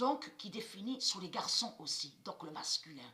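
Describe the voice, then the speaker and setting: This is a woman speaking. She talks at a fairly slow pace. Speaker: esoteric video channel host. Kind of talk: monologue to viewers. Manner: halting, repetitive.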